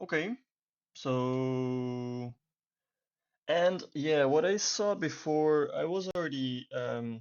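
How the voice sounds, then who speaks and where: A speaker with a non-native accent talks with ordinary pitch variation. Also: man. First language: not English. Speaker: YouTube beginner making tutorial videos. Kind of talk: screen-recorded tutorial. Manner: hesitant, many filler words.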